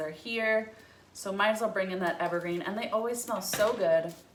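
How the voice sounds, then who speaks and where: A woman's voice with ordinary pitch variation, audible room echo and noticeable background noise. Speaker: florist / wreath maker. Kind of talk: tutorial. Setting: home breezeway. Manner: casual, chatty.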